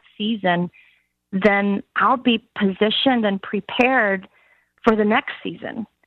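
A woman's medium-pitched voice has fairly even intonation. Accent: Southern US. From US South, Alabama. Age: 50s. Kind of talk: interview conversation.

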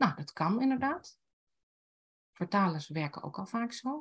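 The voice of a woman comes across as somewhat breathy. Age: 60s. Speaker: writing teacher and blogger. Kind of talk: casual interview.

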